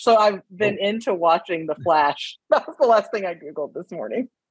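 In an American accent, a woman talks at a medium pitch with lively intonation. She has an ordinary speaking voice. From US South, southeastern Alabama. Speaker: professor and concussion researcher. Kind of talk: casual interview.

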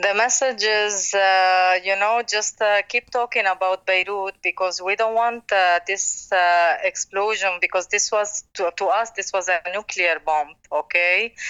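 A woman with a Lebanese accent speaks with fairly even intonation and very even loudness. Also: medium pitch for a woman, fairly slow pace. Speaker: restaurant owner. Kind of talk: interview.

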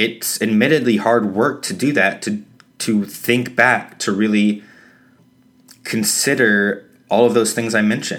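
A man with a fairly low voice talks fairly slowly, showing ordinary pitch variation. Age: 30s. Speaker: podcast host. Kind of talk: solo podcast monologue. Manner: hesitant with fillers.

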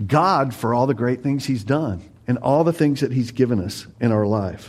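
The recording is very clean, with a silent background. The speech moves at a moderate pace. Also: man. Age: 50s. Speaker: pastor. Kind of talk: sermon. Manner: animated.

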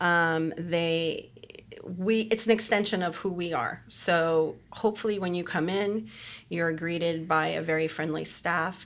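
A woman speaks fairly slowly in an ordinary speaking voice pitched fairly low. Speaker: bakery co-owner. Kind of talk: interview.

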